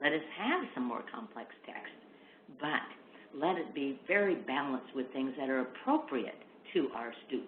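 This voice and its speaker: A woman speaks at a very deep, low pitch with lively intonation. Her moderate pace carries audible room echo. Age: 60s. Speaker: literacy education expert. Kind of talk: webinar lecture. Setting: online webinar.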